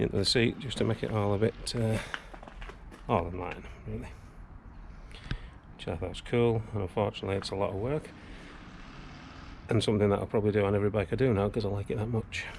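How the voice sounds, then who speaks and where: A man talks at a very fast pace but leaves long, frequent pauses. His pitch variation is ordinary, and there is noticeable background noise. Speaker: motorcycle restorer. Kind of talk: casual talk to camera. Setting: workshop.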